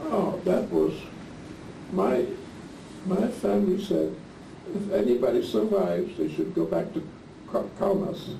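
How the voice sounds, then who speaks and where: A man speaks at a fairly slow pace with long, frequent pauses. Audible room echo and noticeable background noise surround him. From Lithuania (Klaipeda), German-speaking. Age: 70s. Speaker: Holocaust survivor. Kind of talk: oral history interview.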